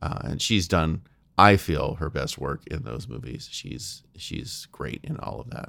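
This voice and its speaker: A man's very deep, low pitch with vocal fry and a bright, sharp tone, fairly slow, with very wide pitch swings and big swings in loudness. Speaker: podcast host. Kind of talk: solo monologue. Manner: halting, many fillers.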